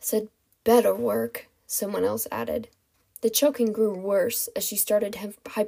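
Quiet background behind a natural reading voice

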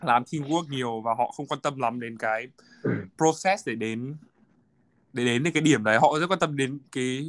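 On a very clean recording with a silent background and a dry, close sound with no echo, a man speaks in a bright, sharp tone with ordinary pitch variation. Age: 20s. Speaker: finance graduate working in the US. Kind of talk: casual chat.

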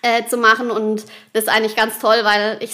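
This woman talks at a fairly quick pace with a fairly high pitch. Her intonation stays fairly even. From Baden, southwest Germany (Rheinhausen). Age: 30s. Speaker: wedding and funeral speaker. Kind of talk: interview.

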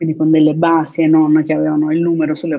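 A woman talks at a fairly quick pace. Her voice is very deep and low, with a dark, mellow tone. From Naples, southern Italy. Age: 30s. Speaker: affiliate marketer, course student. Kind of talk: interview.

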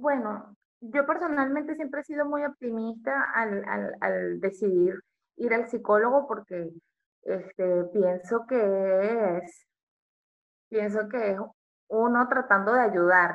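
Her fairly high voice moves along very slowly, the woman using lively intonation. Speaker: podcast co-host. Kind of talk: casual chat.

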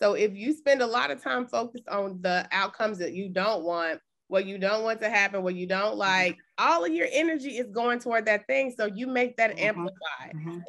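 A woman with a plain, everyday voice at a fairly quick pace. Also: medium pitch for a woman, lively intonation. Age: 40s. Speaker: podcast host and therapist. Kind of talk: casual interview. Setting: remote call.

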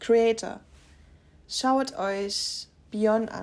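A woman speaks with a Saxon accent. Her voice sits fairly high. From Saxony, Upper Lusatia. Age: 20s. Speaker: podcaster. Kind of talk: personal monologue.

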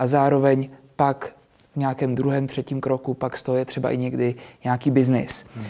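In a dark, mellow tone, a man speaks at medium pitch and a moderate pace. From Czech Republic, Prague. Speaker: real estate agent and youtuber. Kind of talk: interview. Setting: studio.

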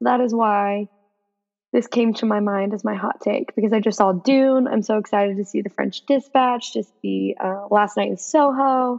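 A woman speaks in a normal speaking voice at medium pitch. Her pace is moderate, with ordinary pitch variation. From Texas. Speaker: podcast guest host, sports fan. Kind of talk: casual chat.

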